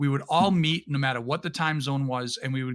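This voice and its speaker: This man speaks with a New England accent at a fairly high pitch. His pace is moderate. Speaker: podcast guest, streamer and former competitive gamer. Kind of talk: casual chat. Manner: halting, with frequent restarts.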